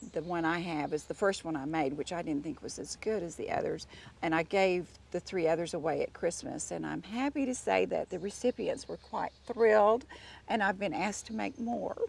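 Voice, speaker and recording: A woman speaks at a moderate pace with a fairly low pitch, vocal fry and lively intonation, recorded very cleanly against a silent background. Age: 60s. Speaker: home gardener. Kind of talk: garden tour interview. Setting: outdoors in a garden.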